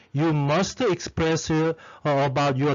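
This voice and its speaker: A man with a non-native accent speaks at a fairly high pitch. His pace is fairly slow and his intonation fairly even. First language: not English. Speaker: lecturer teaching academic writing. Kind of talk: lecture. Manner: halting, many fillers.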